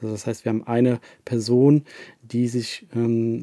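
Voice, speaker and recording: A man with a dark, mellow tone speaks at a moderate pace, the sound dry and close with no echo. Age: 30s. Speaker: head of social media team. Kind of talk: casual interview. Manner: frequent hesitations and fillers.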